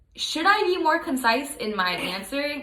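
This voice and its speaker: Against noticeable background noise and audible room echo, a woman speaks at a moderate pace with lively intonation. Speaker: graduate student. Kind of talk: casual self-review monologue.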